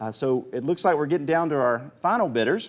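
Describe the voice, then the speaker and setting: Against a quiet background, a man talks in a Southern US accent. His voice is fairly high and quick, with lively intonation. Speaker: auctioneer. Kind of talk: live auction commentary. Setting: livestream. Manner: animated.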